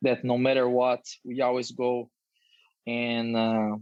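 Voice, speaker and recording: A man speaks at a medium pitch with a Brazilian Portuguese accent. His intonation is monotone and flat. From Brazil, countryside. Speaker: professional footballer. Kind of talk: interview. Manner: halting with fillers.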